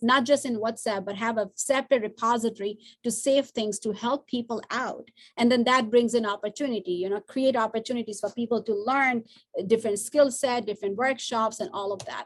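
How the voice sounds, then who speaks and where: A woman with a fairly high pitch talks at a fairly quick pace. Her intonation is fairly even. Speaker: workshop presenter. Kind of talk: online training session. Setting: video call. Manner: fast.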